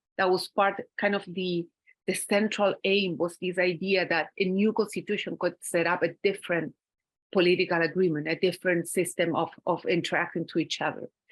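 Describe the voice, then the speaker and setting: A woman talks in a monotone, flat way at a medium pitch and moderate pace. The recording is very clean with a silent background. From Chile. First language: Spanish. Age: 50s. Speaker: academic speaker. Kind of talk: conference talk. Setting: conference panel with audience. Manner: halting.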